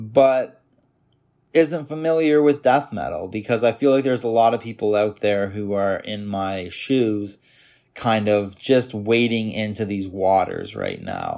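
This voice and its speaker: An ordinary speaking voice with a Canadian accent and ordinary pitch variation comes through on a very clean recording with a silent background. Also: man, medium pitch for a man, fairly slow pace. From Canada, Toronto suburbs. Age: 30s. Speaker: podcast host. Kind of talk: solo monologue podcast. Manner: casual.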